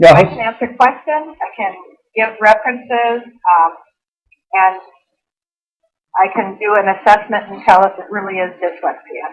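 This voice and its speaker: Speaking at a moderate pace and a medium pitch, a woman uses ordinary pitch variation, with big swings in loudness and long, frequent pauses. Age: 60s. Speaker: dyslexia specialist. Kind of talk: radio interview.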